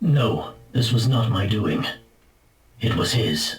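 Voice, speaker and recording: Using a put-on character voice, a man speaks at a medium pitch and a very slow pace. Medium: game stream. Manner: deferential, measured.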